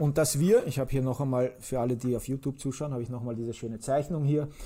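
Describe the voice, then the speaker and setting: A dark, mellow, somewhat breathy tone in a very clean recording with a silent background. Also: man. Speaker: podcast host. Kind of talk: casual chat. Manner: energetic.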